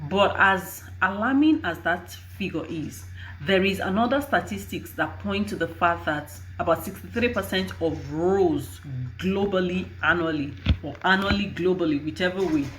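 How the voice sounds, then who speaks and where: Audible room echo surrounds a woman's voice. She speaks at a moderate pace. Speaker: HR and recruitment professional. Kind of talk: advice vlog. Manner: halting.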